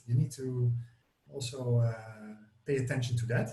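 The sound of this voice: A man speaks at a moderate pace with a slightly mellow tone. Some room echo can be heard.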